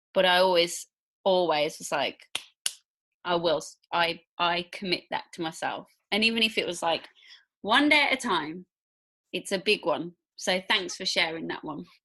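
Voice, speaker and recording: A woman with a Midlands accent speaks in a bright, sharp tone at a fairly low pitch, her moderate pace marked by long, frequent pauses and lively intonation. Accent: British Midlands. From English Midlands, near Birmingham. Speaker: podcast host. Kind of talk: interview conversation.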